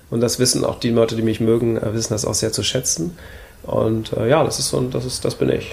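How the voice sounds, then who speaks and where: Noticeable background noise is present. The man's pitch varies in an ordinary way. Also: medium pitch for a man, fairly quick pace. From Hamburg, northern Germany. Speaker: minimalism blogger and YouTuber. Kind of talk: casual interview conversation. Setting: coworking space, seated on wood shavings.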